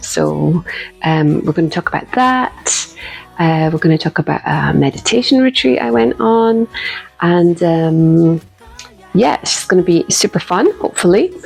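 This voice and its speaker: Music plays in the background as a woman with a Scottish accent speaks at a moderate pace. Her fairly low voice has lively intonation. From Scotland. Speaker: watercolour artist and knitting vlogger. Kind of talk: casual vlog chat.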